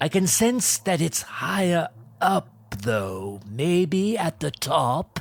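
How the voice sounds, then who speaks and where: Very slowly, a man performs a put-on character voice at a high pitch, swinging through a very wide pitch range. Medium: audio drama. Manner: laid-back, casual, cheerful.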